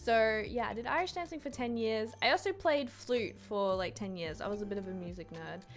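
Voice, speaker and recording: Music plays behind a woman who speaks at a moderate pace with an Australian accent. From Australia, Brisbane. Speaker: YouTuber and Twitch streamer. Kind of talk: casual Q&A to camera. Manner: casual, lots of fillers.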